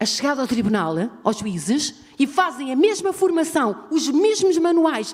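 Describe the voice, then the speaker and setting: A woman's pitch swings very widely while she talks fairly slowly. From Portugal. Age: 60s. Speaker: audience member, domestic violence survivor. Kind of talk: audience intervention at a forum. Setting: university auditorium. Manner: halting, repeating words.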